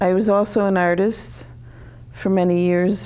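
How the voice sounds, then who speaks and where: Speaking at a very slow pace, a woman with an American accent keeps a fairly low pitch and fairly even intonation. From Connecticut, US. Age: 60s. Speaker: author. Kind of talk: TV interview. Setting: TV studio.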